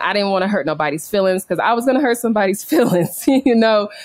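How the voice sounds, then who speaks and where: A woman at medium pitch with ordinary pitch variation. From California. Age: young. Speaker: expat entrepreneur. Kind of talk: interview. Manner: casual, laughing often.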